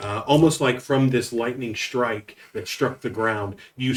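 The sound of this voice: Pitch varies in an ordinary way as this unforced reading voice goes on.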